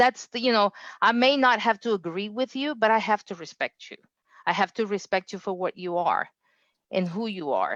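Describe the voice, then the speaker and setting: A woman with a non-native accent, fairly high pitch and moderate pace, the sound dry and close with no echo over a quiet background. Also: ordinary pitch variation. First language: not English. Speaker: engineering quality director. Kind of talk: interview. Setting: livestream.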